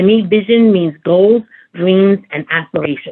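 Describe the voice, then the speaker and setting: A woman with a Brooklyn accent at a moderate pace. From Brooklyn, New York. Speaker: advocacy group president. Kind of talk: seminar talk. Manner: halting, many fillers.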